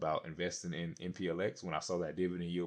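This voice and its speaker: Speech at a very fast pace over a quiet background. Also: man. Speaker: investing YouTuber. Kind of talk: casual vlog commentary. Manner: halting, stuttering.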